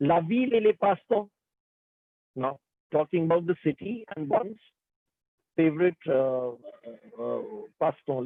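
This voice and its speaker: A man speaks at a fairly high pitch. His pace is moderate and his pitch varies in an ordinary way. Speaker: French language teacher. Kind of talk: lecture.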